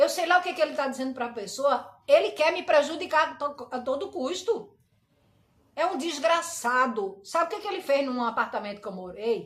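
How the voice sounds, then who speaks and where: The delivery is animated, with very wide pitch swings. The pace stays moderate. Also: woman, high pitch for a woman. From Brazil, Recife. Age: 60s. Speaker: pastor. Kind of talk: personal complaint livestream.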